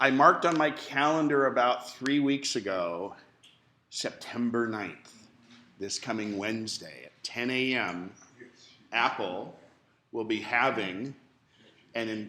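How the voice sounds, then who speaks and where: Very slow speech with long, frequent pauses, big swings in loudness, a bright, sharp tone and audible room echo. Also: man. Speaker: computer class instructor. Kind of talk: classroom lecture.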